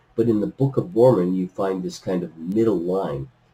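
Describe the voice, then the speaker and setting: The man's somewhat breathy voice makes very wide pitch swings at a moderate pace. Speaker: religious teacher. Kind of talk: scripture lesson lecture.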